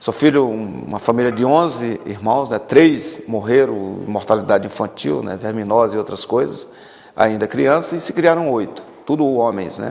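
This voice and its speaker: Lively intonation runs through this man's medium-pitched speech. He has a plain, everyday voice and keeps a moderate pace. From Brazil, Maranhão interior. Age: 50s. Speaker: politician. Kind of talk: tv interview.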